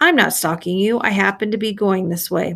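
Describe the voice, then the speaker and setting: Putting on a character voice, a woman speaks softly at a fairly quick pace and a medium pitch. Her tone is raspy and gravelly, with ordinary pitch variation. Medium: read story. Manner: coaxing, self-assured charm.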